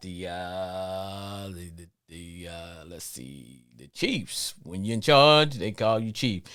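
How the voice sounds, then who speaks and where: Very deep and low in pitch, a man speaks with a slight Louisiana accent and ordinary pitch variation. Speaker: sports podcast host. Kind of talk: live call-in show monologue. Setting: live stream.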